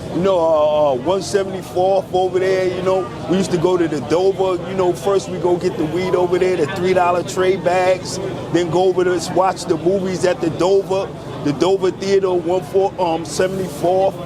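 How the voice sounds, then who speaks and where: In a New York accent, a man speaks at a moderate pace with a high, monotone, flat delivery. Noticeable background noise can be heard. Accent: New York (Bronx). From New York City, the Bronx. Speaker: customer waiting in line. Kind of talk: casual street interview.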